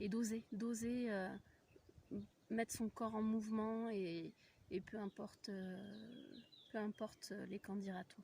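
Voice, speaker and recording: Somewhat breathy and fairly high in pitch, a woman speaks at a very slow pace with monotone, flat intonation. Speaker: spiritual coach and voice practitioner. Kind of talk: casual spiritual vlog talk. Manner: hesitant, many fillers.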